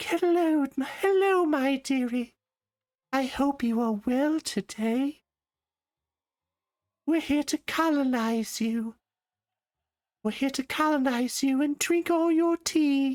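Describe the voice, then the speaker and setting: A man puts on a character voice at an extremely high pitch. He goes at a fairly slow pace with long, frequent pauses. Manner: prim, mock friendly.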